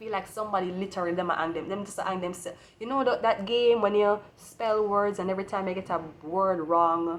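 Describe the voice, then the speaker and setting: A woman's medium-pitched voice with a Jamaican accent, a fairly quick pace and fairly even intonation. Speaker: tarot reader. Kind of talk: tarot reading.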